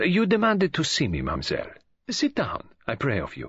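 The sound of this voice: At a medium pitch, a man performs a put-on character voice with a husky, rough edge and a fairly bright tone. He moves at a fairly quick pace through very wide pitch swings.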